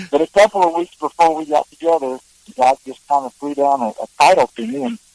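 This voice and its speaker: A fairly high-pitched man at a fairly quick pace, ordinary pitch variation and big swings in loudness, dry and close with no echo. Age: 60s. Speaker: songwriter and singer. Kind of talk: interview. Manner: halting.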